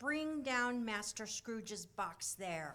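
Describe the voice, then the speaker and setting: A loud, female-sounding put-on character voice speaks at a very slow pace with a fairly high pitch. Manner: commanding, fierce.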